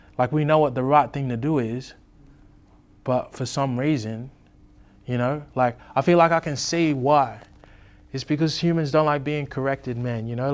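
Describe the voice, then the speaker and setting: A man with an Australian accent talks at a moderate pace. His pitch is fairly high and his intonation fairly even. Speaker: rapper. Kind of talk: interview.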